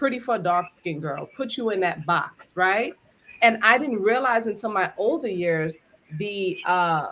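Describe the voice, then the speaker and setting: A woman's bright, sharp, animated voice at medium pitch, fairly slow, with lively intonation. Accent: Brooklyn. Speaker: entrepreneur and live-stream host. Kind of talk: casual chat. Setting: live stream.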